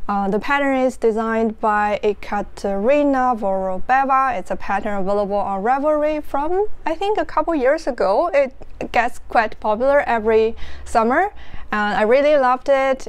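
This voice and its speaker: A woman with a Chinese accent speaks at a high pitch with lively intonation. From northeastern China. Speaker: knitting podcaster and designer. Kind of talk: casual chat. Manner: slow.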